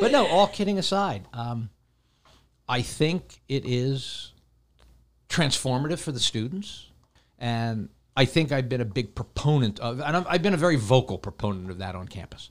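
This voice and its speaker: A man speaks at a medium pitch with very wide pitch swings and long, frequent pauses. The recording is very clean, with a silent background. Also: moderate pace. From Pennsylvania, US. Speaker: professor. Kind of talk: casual chat. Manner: talkative.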